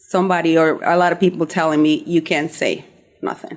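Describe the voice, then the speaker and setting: A woman speaks at a fairly quick pace. She has a Spanish accent. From Peru. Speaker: somatic healing practitioner, podcast host. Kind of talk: radio interview.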